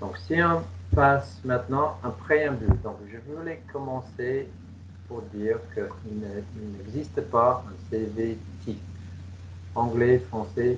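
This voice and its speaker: Somewhat breathy, a man with an English Canadian accent speaks at a medium pitch and a very slow pace over light background noise. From Canada, Toronto. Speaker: English coach and trainer. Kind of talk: webinar presentation. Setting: video call. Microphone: headset.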